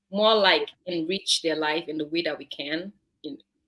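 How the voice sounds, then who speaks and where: This woman speaks with a Nigerian accent, a medium pitch and a bright, sharp tone. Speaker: online show co-host. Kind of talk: casual chat.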